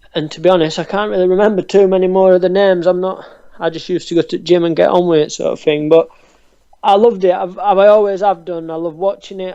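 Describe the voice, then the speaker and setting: With a Yorkshire accent, a man talks at a very fast pace in a high pitch, his tone dark and mellow and his intonation monotone and flat. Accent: Barnsley Yorkshire. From northern England, Barnsley, South Yorkshire. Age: 20s. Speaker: professional boxer. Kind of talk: interview. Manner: hesitant, many ums.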